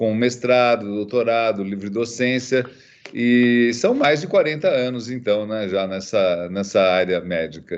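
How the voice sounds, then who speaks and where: A fairly slow pace with ordinary pitch variation. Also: man, medium pitch for a man. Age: 60s. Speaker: ophthalmologist and professor. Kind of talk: interview. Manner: halting, many fillers.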